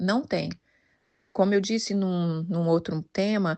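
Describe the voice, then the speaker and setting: This woman has a plain, everyday voice at a medium pitch. She talks at a fairly slow pace. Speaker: women's devotional leader. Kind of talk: devotional talk.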